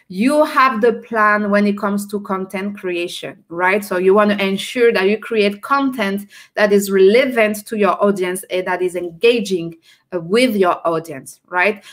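Against a quiet background, a woman speaks at a fairly slow pace. She has a French accent and ordinary pitch variation. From France. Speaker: entrepreneur and personal branding coach; personal branding coach. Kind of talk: live stream interview. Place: home room.

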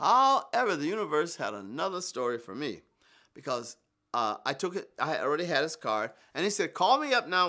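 In a quiet setting, a man talks fairly quickly in a high voice with very wide pitch swings. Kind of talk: interview answer. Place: home room.

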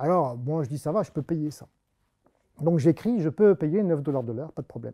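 Against a quiet background, a man speaks with a fairly high pitch and lively intonation. His tone is dark and mellow. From France. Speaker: mathematician giving a public talk. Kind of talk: public lecture. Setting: stage with audience. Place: classroom.

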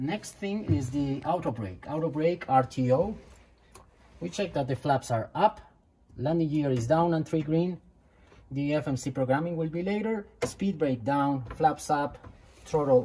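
A woman speaks fairly slowly in a very deep, low, dark and mellow voice that is somewhat breathy. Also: lively intonation. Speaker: simulator instructor. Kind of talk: tutorial. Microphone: phone near.

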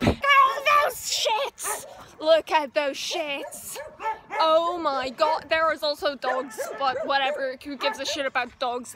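A woman speaks very slowly in a raised, projected voice, the sound dry with no echo and noticeable noise in the background. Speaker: vlogger. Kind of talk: casual vlog chat. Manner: tipsy, loose, excited rambling. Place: open country. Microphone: phone near.

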